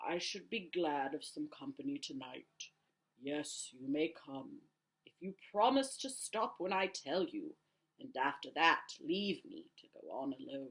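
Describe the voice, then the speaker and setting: This put-on character voice sits at a middle pitch with very wide pitch swings. The pace is fairly slow. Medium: read story. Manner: slow, grave, tender.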